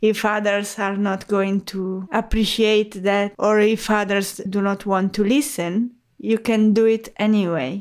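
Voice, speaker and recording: On a very clean recording with a silent background, a woman with an Italian accent speaks at a fairly slow pace with hardly any pauses. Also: medium pitch for a woman, fairly even intonation. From Italy. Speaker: HR expert and podcaster. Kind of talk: interview conversation.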